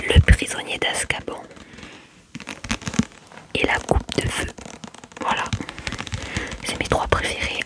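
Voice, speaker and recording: Whispering at a very slow pace, a woman leaves long, frequent pauses over noticeable background noise. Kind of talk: ASMR book haul talk to camera. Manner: whispered.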